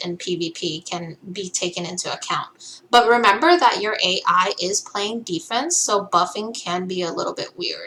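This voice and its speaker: A woman speaks with a non-native accent. Noticeable background noise can be heard. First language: not English. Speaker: gaming content creator. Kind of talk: game tutorial. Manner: casual, many filler ums.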